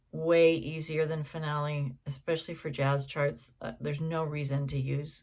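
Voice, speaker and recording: Somewhat breathy, a woman speaks with a very deep, low pitch in monotone, flat intonation. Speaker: jazz singer and songwriter. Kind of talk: casual tutorial. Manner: slow; halting.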